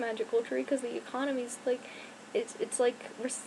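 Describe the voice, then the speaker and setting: Over noticeable background noise, a woman with a high pitch speaks at a moderate pace. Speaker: YouTuber. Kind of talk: casual chat. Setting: home bedroom. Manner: rambling, hesitant with fillers.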